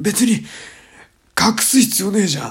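A man speaks at a fairly slow pace. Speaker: radio host. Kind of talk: casual solo talk. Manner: rough, blunt slang; casual, rambling.

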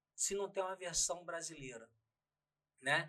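A man's raised, projected voice with a bright, sharp tone, lively intonation and a fairly slow pace. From Pernambuco, raised in Rio de Janeiro. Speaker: dubbing studio owner. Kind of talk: casual interview. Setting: studio.

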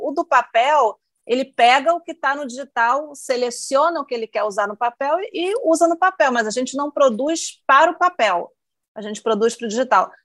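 A high-pitched woman's voice with ordinary pitch variation and a dry, close sound with no echo. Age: 40s. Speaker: newspaper reporter. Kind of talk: casual chat.

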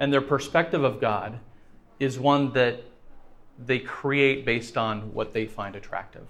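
Amid audible room echo, a man of medium pitch speaks at a fairly slow pace with long, frequent pauses and ordinary pitch variation. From France. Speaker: guest speaker. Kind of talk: evangelistic lecture with consecutive interpretation. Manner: pauses after each sentence for interpreter.

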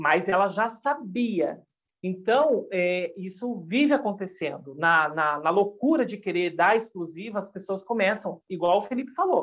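A woman has an unremarkable speaking voice at medium pitch. She talks fairly slowly, with lively intonation. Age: 40s. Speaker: YouTuber and gossip commentator. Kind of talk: casual podcast chat.

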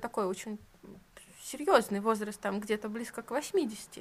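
A woman's fairly even intonation in a plain, everyday voice. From Russia, St Petersburg. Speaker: podcast host, tattoo artist. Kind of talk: casual interview.

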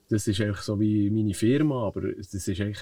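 A man talks at a fairly quick pace in a fairly low, somewhat breathy voice with a dark, mellow tone. His pitch varies in an ordinary way against a quiet background. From Switzerland, Bern region. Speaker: stuntman and stunt coordinator. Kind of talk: interview. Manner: hesitant, many fillers.

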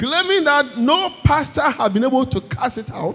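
A man talks in an animated tone at an extremely high pitch, his pitch swinging very widely. The pace is fairly slow. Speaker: preacher. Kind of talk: sermon. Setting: church with congregation. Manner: animated, call-and-response, exhorting the congregation to say amen and clap; fervent, repetitive, emphatic.

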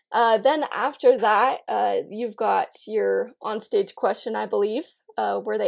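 The recording is very clean, and the background is silent. A woman talks at a moderate pace. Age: young. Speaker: beauty pageant titleholder and college student. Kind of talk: casual chat.

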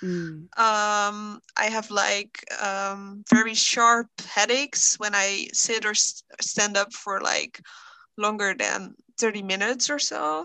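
Against a quiet background, a woman with a non-native accent and a medium pitch speaks at a very slow pace in a bright, sharp tone. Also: fairly even intonation. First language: not English. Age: 20s. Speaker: guest with chronic illness, social worker. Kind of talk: casual interview chat. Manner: hesitant, many fillers.

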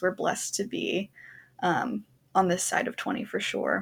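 Somewhat breathy and medium in pitch, a woman with an American accent speaks at a moderate pace with ordinary pitch variation. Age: 20s. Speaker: podcast co-host, social work grad student. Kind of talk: casual chat.

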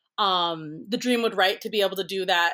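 A normal speaking voice with an American accent, at a moderate pace with ordinary pitch variation. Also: woman. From Minnesota, Twin Cities. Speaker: prop designer. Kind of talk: casual interview. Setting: remote recording.

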